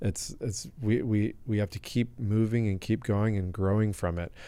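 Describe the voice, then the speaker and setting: A man with an American accent speaks at a moderate pace in a fairly low pitch, with a dark, mellow tone and fairly even intonation. The recording is very clean, with a silent background. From US West Coast (La Jolla, California). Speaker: supplement company founder and health expert. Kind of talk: podcast interview. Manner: gentle.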